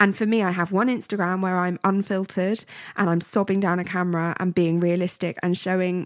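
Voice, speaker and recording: A woman's very fast, medium-pitched speech with a British accent, on a very clean recording with a silent background. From grew up abroad as British expat. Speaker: podcast co-host. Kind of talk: casual chat.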